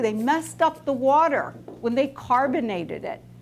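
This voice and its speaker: A woman at a high pitch, with lively intonation and a fairly slow pace. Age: 60s. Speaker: nutritionist; skin care educator. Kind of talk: talk to students. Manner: animated.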